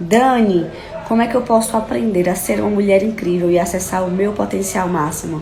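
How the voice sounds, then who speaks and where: A woman speaks at a moderate pace and medium pitch with ordinary pitch variation. Audible room echo and noticeable background noise are present. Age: 20s. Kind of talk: live stream teaching. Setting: live stream.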